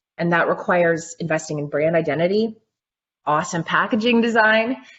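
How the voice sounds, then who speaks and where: The delivery comes at a fairly quick pace with an energetic tone and ordinary pitch variation. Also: woman. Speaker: packaging and branding expert. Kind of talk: webinar Q&A panel. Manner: loud.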